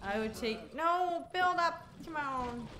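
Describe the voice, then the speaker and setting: A woman's voice makes very wide pitch swings. Light background noise sits behind it. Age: 20s. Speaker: gaming streamer. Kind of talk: casual livestream gameplay commentary. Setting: live stream. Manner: animated. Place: home room.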